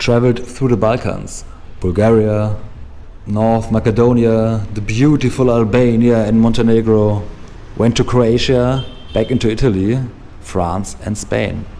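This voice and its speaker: In a room with audible echo, a man with a German accent speaks at a medium pitch. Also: fairly slow pace. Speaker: motorcycle travel vlogger. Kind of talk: vlog intro monologue. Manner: animated.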